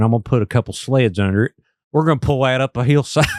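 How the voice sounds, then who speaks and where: A man talking at a very fast pace, in a very clean recording with a silent background and a dry, close sound with no echo. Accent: Appalachian. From West Virginia. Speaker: podcast host. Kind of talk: interview. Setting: studio. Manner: animated.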